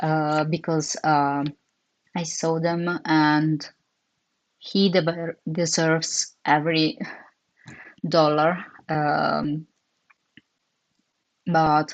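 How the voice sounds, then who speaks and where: A woman with an Italian accent speaks very slowly in a very deep, low voice. Her intonation is monotone and flat, with long, frequent pauses. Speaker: comic artist streamer. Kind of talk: casual chat while drawing on livestream. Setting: livestream. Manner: halting, many fillers.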